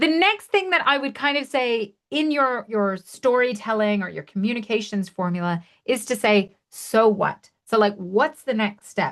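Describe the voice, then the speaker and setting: With lively intonation and hardly any pauses, a woman speaks at a moderate pace in a fairly high voice against a quiet background. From Canada. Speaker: webinar trainer. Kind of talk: webinar tutorial. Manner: animated.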